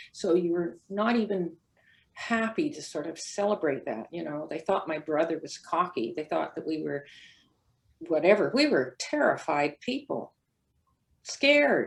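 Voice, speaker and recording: Woman in a Canadian accent, fairly low-pitched and fairly slow, with very wide pitch swings and big swings in loudness. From Canada, North Vancouver. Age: 70s. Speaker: former track athlete. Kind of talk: panel testimony.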